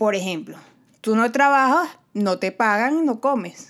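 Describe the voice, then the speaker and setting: A woman speaks at a fairly slow pace with a Venezuelan accent. The recording is very clean, the background silent. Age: 20s. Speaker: podcast host. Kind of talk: solo podcast monologue.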